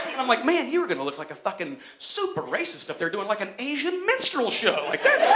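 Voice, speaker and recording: A man talks at a very fast pace with an American accent. Noticeable background noise runs underneath. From Johnson City, Tennessee. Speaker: stand-up comedian. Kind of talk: live stand-up comedy set. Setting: live theatre stage.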